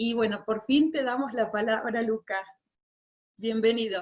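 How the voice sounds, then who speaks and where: In a normal speaking voice, a woman talks fairly slowly at a fairly high pitch with fairly even intonation. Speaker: event moderator. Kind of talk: formal introduction.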